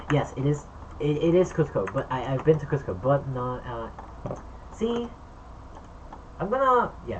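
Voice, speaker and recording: A woman talks at a fairly slow pace with a very deep, low pitch and very wide pitch swings, leaving long, frequent pauses. Noticeable background noise runs underneath. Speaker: streamer. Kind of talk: casual livestream chat reading comments. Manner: repeats words, many fillers.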